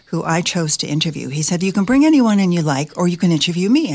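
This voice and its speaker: An unremarkable speaking voice from a woman, fairly low in pitch, with lively intonation at a fairly quick pace. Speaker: retired broadcaster and author. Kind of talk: casual interview.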